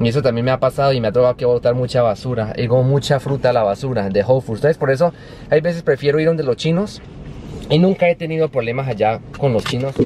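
Over light background noise, a man talks at a very fast pace with ordinary pitch variation, in a dry sound with no echo. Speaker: vlogger. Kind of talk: casual vlog chat. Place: car. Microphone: phone near.

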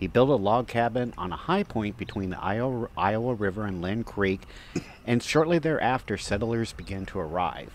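The speech moves at a moderate pace with ordinary pitch variation, in a dry sound with no echo and light background noise. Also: man. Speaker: walking tour host. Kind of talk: travel commentary. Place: street.

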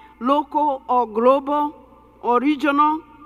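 A woman speaks in a high voice with fairly even intonation. The background is quiet. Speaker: keynote speaker. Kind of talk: keynote speech. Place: stage. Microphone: headset.

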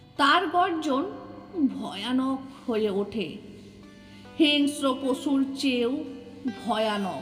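A woman speaks in a high pitch with lively intonation. Music plays behind her. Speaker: poet. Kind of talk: poetry reading.

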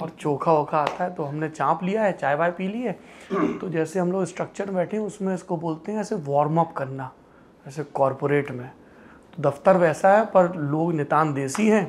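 This man has a high-pitched voice with ordinary pitch variation. His pace is moderate. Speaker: interview host. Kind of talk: lively intro to an interview. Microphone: lapel.

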